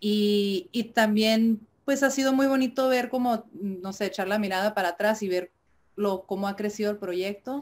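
The woman speaks at a moderate pace, her pitch fairly high with ordinary variation. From Mexico, Tijuana. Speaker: indie rock musician. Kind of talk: interview. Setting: video call. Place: home room.

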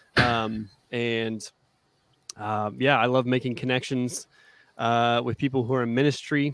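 An American-accented man speaks at a fairly slow pace in a monotone, flat way, with long, frequent pauses. The sound is dry with no echo, over a quiet background. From Arizona, US. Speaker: youth minister. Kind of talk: interview. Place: home room. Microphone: studio mic.

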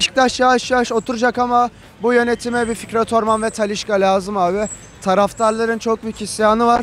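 A man speaks at an extremely high pitch and fairly quick pace, with monotone, flat intonation. The sound is dry with no echo, with light background noise. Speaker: football fan. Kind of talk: street interview. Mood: opinionated, animated about team. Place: street. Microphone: handheld.

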